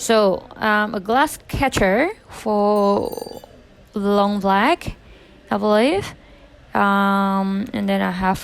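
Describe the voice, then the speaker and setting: Speaking very slowly with a non-native accent, a woman talks at a medium pitch. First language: not English. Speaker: barista vlogger. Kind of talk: voiceover commentary. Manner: hesitant, many ums.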